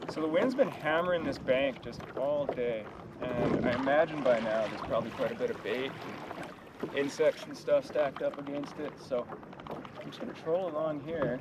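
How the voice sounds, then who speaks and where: A man whose pitch is fairly high talks at a moderate pace, with noticeable background noise around him. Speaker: fishing vlogger. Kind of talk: casual outdoor vlog narration. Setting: outdoors on a lake in a kayak. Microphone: poor audio from wind.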